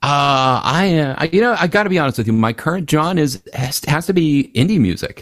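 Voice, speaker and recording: In an ordinary speaking voice, a man with a fairly high pitch talks at a moderate pace with lively intonation, very even loudness and hardly any pauses. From Philadelphia, Pennsylvania. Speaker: musician and author. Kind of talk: casual interview chat.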